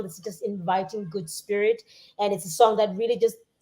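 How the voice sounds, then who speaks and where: A woman with a South African accent speaks at a fairly quick pace in a fairly high pitch, her tone dark and mellow. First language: Xhosa. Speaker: musician. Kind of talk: casual chat. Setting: live stream. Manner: halting.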